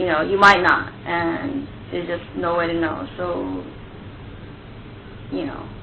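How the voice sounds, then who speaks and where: A woman speaks with an American accent, leaving long, frequent pauses. Noticeable background noise and audible room echo fill the recording. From US, bilingual Japanese household. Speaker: anime and video game translator. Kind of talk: interview.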